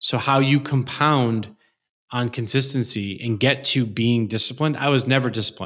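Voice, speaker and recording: With fairly even intonation, a normal speaking voice comes through on a very clean recording with a silent background. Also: man. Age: 40s. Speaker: entrepreneur. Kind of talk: interview conversation. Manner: casual, filler-heavy.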